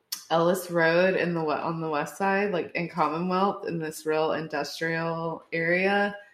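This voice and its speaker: Very slowly, a woman speaks at a fairly low pitch with monotone, flat intonation. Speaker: mother, podcast guest. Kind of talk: casual chat. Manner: giggly.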